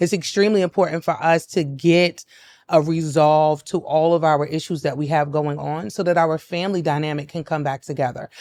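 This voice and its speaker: Speaking at a fairly quick pace with a New York accent, a woman's very deep, low voice comes through on a very clean recording with a silent background. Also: fairly even intonation. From New York City (Brownsville, Brooklyn). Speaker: mental health advocate and business founder. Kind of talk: podcast interview.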